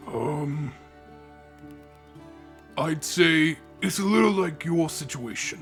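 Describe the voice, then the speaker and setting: Clear music plays behind a man doing a put-on character voice. His pitch is fairly high. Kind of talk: audio roleplay. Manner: calm, kind.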